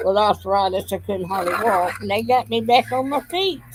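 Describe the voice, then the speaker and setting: A woman with a Southern US accent at a fairly slow pace and ordinary pitch variation, over noticeable background noise. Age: 80s+. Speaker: retired grandmother vlogger. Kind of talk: casual live stream chat. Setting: live stream at home. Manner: halting.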